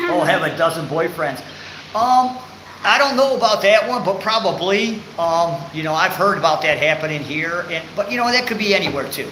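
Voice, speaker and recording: A man's raised, projected voice, high in pitch, with an American accent, lively intonation and a moderate pace, amid audible room echo and noticeable background noise. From Michigan, US. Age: 60s. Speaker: vlogger. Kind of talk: live stream chat. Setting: live stream. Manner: halting.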